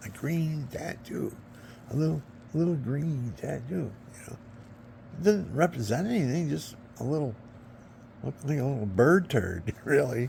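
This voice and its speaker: A somewhat breathy voice with lively intonation, moderate pace and long, frequent pauses. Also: man, fairly high pitch for a man. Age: 70s. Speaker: vlogger. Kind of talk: casual monologue. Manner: rambling, halting.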